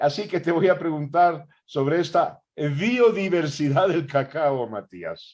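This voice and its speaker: A man speaking at a very slow pace with hardly any pauses and ordinary pitch variation. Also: fairly high pitch for a man. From Ecuador. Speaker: interviewer host. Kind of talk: interview conversation.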